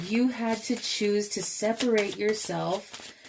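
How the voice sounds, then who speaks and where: Speaking at a very slow pace, a woman uses ordinary pitch variation over noticeable background noise. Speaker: tarot reader. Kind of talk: tarot reading. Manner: casual, musing.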